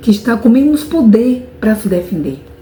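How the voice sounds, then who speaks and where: Over noticeable background noise, a woman speaks at a fairly high pitch with lively intonation. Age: adult. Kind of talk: interview answer. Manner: halting, repeats words.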